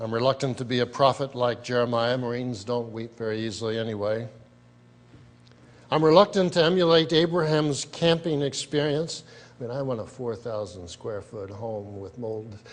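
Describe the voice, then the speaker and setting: In an unremarkable speaking voice, a man talks at a moderate pace and medium pitch, with ordinary pitch variation and big swings in loudness. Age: 60s. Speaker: speaker. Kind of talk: speech.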